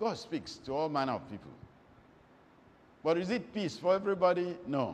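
A man speaks at a moderate pace with vocal fry. Light background noise sits behind him. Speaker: preacher. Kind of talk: sermon.

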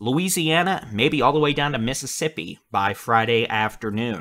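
The tone is bright and sharp. Pitch varies in an ordinary way at a moderate pace. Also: man. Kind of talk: weather briefing commentary.

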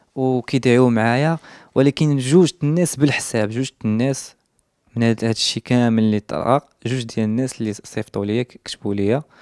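Speaking at a moderate pace with ordinary pitch variation, a man is heard in a dry sound with no echo and a quiet background. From Morocco, Casablanca. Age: 20s. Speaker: social media influencer; interviewee. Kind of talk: interview testimony. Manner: halting. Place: home room. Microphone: handheld.

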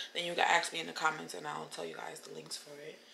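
With light background noise behind her, a woman speaks at a very fast pace. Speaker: lifestyle vlogger. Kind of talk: casual vlog talk to camera. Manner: animated. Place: kitchen. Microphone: phone near.

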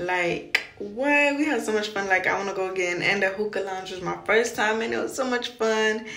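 Audible room echo surrounds a woman's voice. She speaks at a moderate pace. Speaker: vlogger. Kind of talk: casual vlog chat. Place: bathroom. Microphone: phone near.

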